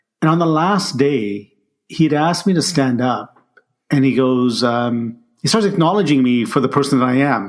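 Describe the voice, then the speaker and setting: A man speaks in a normal speaking voice at a fairly high pitch. His pace is moderate and his loudness very even. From immigrated to Canada at age ten, grew up in Ottawa. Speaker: leadership coach and author. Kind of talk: interview storytelling.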